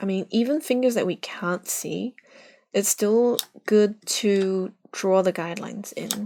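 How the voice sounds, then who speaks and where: At a fairly slow pace, a woman with a non-native accent speaks at a medium pitch in a dark, mellow tone with ordinary pitch variation, in a very clean recording with a silent background. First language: not English. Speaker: art streamer teaching drawing. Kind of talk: live drawing tutorial. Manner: casual, halting with fillers.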